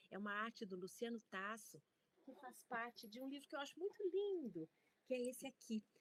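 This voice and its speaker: A woman's high pitch with very wide swings. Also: moderate pace, dry, close sound with no echo. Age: 60s. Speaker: university researcher and storytelling scholar. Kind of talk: conference talk.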